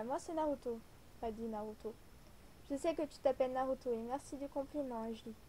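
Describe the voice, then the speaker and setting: Soft-spoken and high-pitched, a woman with a dark, mellow tone talks at a fairly quick pace, with ordinary pitch variation and long, frequent pauses. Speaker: amateur writer. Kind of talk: reading own story aloud.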